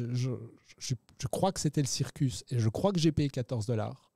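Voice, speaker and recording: At a fairly slow pace, a man speaks at a medium pitch with a dark, mellow tone and a somewhat breathy quality, the sound dry with no echo and the background quiet. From Belgium. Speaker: poker show host; stream host. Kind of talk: casual chat with poker commentary. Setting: studio. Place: studio. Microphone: studio mic.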